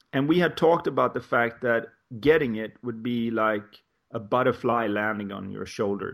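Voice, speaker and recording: A man speaks with a Swedish accent. His pitch is medium, with ordinary variation. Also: moderate pace. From Sweden. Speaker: life coach. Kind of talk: interview conversation.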